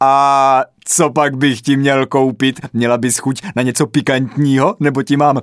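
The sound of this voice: An unforced reading voice carries through the clip.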